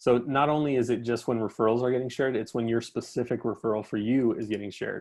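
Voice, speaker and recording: With a quiet background, a man of medium pitch speaks at a fairly quick pace. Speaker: freelance talk speaker, job board founder. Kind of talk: webinar talk with screen-share tutorial. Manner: fast; casual, many fillers.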